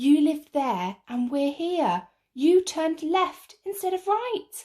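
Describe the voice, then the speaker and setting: A woman's squeaky, put-on character voice, raised and projected, extremely high in pitch and fairly slow. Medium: read story.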